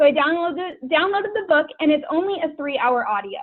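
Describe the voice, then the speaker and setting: Lively intonation marks this woman's animated tone. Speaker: guest speaker for a direct sales team. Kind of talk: team call presentation. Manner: fast. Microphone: broken computer mic.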